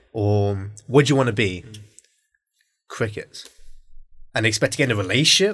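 Medium-pitched male speech with long, frequent pauses, a moderate pace and ordinary pitch variation. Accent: British. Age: 20s. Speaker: podcast host and aspiring filmmaker. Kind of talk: casual chat. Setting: studio, in-person recording, socially distanced.

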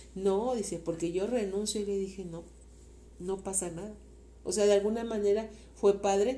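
With audible room echo, a woman in a Mexican accent speaks at a medium pitch and moderate pace, with a dark, mellow tone, fairly even intonation and long, frequent pauses. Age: 50s. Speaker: host's mother. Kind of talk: interview.

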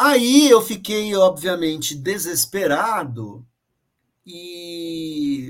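At a very slow pace, a man speaks with a high pitch and very wide pitch swings. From São Paulo, East Zone. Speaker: opera director and lighting designer. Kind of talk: interview. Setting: video call from home office.

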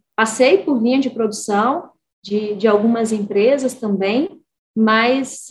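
A woman speaks at a fairly high pitch and a very slow pace. Her voice is somewhat breathy. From Brazil, Espírito Santo. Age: 30s. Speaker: engineer and port executive. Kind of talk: interview testimony.

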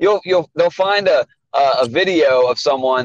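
At a moderate pace, a man with a normal speaking voice talks with ordinary pitch variation in a dry, close sound with no echo. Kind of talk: casual banter podcast chat. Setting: remote call with weaker audio.

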